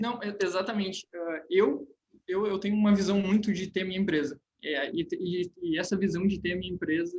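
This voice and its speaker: The man speaks in a high-pitched voice. Intonation remains fairly even. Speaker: civil engineering student, junior enterprise founder. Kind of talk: panel discussion. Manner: fast; halting, many repetitions.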